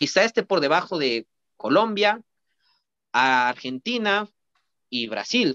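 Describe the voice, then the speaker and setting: A man with a high pitch and a bright, sharp tone speaks at a fairly slow pace, his pitch swinging very widely against a quiet background. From Mexico. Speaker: social media football commentator. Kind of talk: casual chat. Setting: online call. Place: home room. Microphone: video call.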